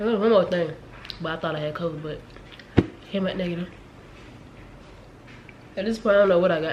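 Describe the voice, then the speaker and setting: The speaker talks at a very fast pace with fairly even intonation and long, frequent pauses, over noticeable background noise. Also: woman, fairly low pitch for a woman. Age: 20s. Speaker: lifestyle vlogger. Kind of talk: casual talk to camera.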